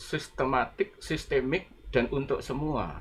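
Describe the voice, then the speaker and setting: The speaker has a Malay accent. The pace is fairly slow. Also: man. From Sumatra, moved to Yogyakarta at age 6. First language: Malay (speaking Indonesian). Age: 70s. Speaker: retired education professor. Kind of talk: panel discussion.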